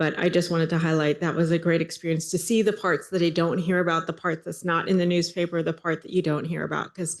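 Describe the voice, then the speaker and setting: Over a quiet background, a woman talks at a fairly quick pace with monotone, flat intonation. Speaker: city council member. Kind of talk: council meeting report. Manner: fast; halting, many fillers.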